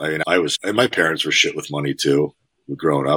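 A man with an American accent, very deep and low in pitch yet bright and sharp in tone, with vocal fry, a very fast pace, and a dry, close sound with no echo. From US Northeast (Connecticut). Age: 30s. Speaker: fitness coach. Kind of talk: casual interview chat. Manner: animated.

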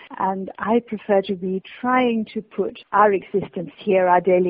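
A woman with a British accent, medium pitch, fairly even intonation and a moderate pace. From Britain. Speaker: obituaries editor and author. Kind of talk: interview.

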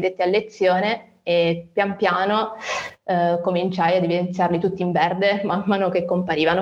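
Her medium-pitched voice stays monotone and flat as the woman talks. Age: 20s. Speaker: nurse and rare disease patient. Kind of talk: interview testimony. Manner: hesitant, many fillers.

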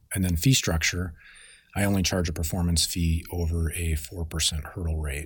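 A man with a very deep, low pitch and an American accent, somewhat breathy, fairly even intonation, moderate pace, very clean recording with a silent background. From Denver, Colorado. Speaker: fund manager. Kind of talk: interview.

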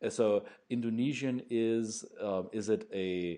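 A man's voice sits fairly low with a dark, mellow tone. His pitch varies in an ordinary way. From Germany. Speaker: podcast host. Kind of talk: casual interview. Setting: video or phone call.

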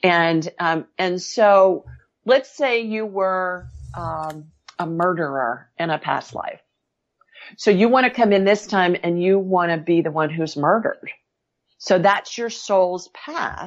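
Speaking very slowly in an American accent, a woman uses a medium pitch and ordinary pitch variation. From Ohio. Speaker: medical intuitive and author. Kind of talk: interview. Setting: remote call.

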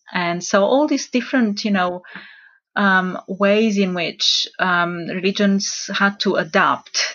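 Pitch variation is ordinary as a woman talks at a medium pitch. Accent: Romanian. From Romania. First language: Romanian. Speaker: religious studies lecturer. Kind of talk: panel discussion.

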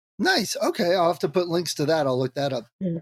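A man speaks at a high pitch and a fairly quick pace. The sound is dry and close, with no echo. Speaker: podcast host. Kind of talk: interview.

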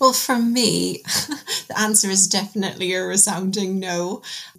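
A woman speaks with fairly even intonation. Her voice is somewhat breathy. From Newcastle upon Tyne, northeast England. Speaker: poet and novelist. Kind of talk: casual panel discussion.

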